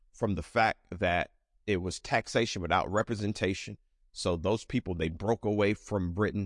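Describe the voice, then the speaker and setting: This man has an ordinary speaking voice with a fairly low pitch and fairly even intonation. He talks at a moderate pace in a dry, close sound with no echo. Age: 40s. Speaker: pastor. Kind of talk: bible study teaching. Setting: church with live audience and stream.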